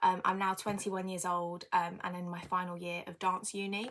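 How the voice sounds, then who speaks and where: This woman's pace is fairly quick. She talks with a British accent. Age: 20s. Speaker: podcast host, dance student. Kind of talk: casual personal monologue. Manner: hesitant with many fillers.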